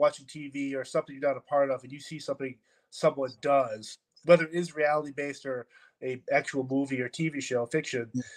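Speaking at a moderate pace, a man with a plain, everyday voice and a fairly high pitch keeps his intonation fairly even, with dry, close sound and no echo. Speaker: podcast host. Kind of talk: casual interview chat.

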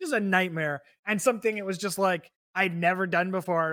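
In a very clean recording with a silent background, a man with an American accent projects a raised, high-pitched voice with a bright, sharp tone. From Texas, San Antonio. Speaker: podcast host. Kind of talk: casual chat.

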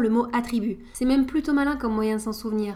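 The woman's pitch is high. She keeps a fairly quick pace with fairly even intonation. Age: 30s. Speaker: podcast host. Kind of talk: scripted narration.

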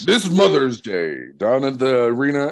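A man performs a loud, put-on character voice at a medium pitch. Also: moderate pace. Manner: loud, hyped, controlled volume.

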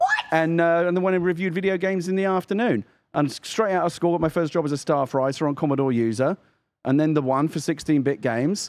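Delivery is very fast, with a British accent and ordinary pitch variation. Loudness stays very even throughout. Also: man, fairly high pitch for a man. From UK. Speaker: podcast co-host. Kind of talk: casual chat.

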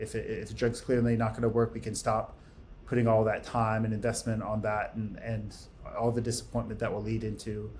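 A man with an American accent talks at a fairly quick pace in a monotone, flat intonation. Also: medium pitch for a man. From United States. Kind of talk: interview.

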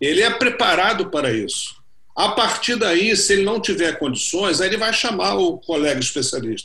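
The man's voice is pitched high. He talks at a moderate tempo. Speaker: orthopedic surgeon. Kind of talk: panel discussion.

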